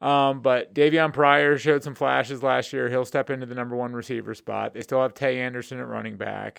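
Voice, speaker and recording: With a quiet background, a man talks at a medium pitch and fairly even intonation. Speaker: podcast host, sports journalist. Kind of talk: casual interview chat. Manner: halting, many filler words.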